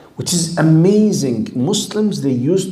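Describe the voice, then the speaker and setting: A man with an Arabic accent, very wide pitch swings and a fairly slow pace, amid noticeable background noise and audible room echo. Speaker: Islamic studies teacher. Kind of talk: lecture.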